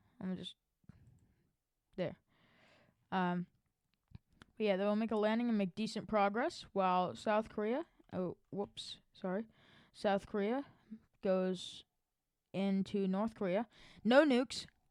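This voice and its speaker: Here is a woman with an ordinary speaking voice, a medium pitch, ordinary pitch variation and a fairly slow pace. The recording is very clean with a silent background and a dry, close sound with no echo. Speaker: YouTuber narrating alternate history map scenario. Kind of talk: casual commentary over map video. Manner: casual, filler-heavy.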